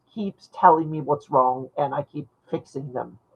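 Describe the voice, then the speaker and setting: The speaker has a non-native accent, talking at a moderate pace with ordinary pitch variation. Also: woman. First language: not English. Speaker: fantasy map maker. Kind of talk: casual chat. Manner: halting, many repeated words.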